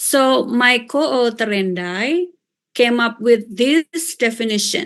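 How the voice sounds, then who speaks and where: With an Indonesian accent, a woman speaks very slowly at a fairly high pitch. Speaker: professor. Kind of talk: lecture. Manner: hesitant with fillers.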